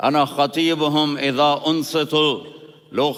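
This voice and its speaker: The speaker is a man with a fairly high pitch. He delivers his words in a flat monotone. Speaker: Islamic preacher. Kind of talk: Islamic sermon (bayan). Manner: emotional, passionate.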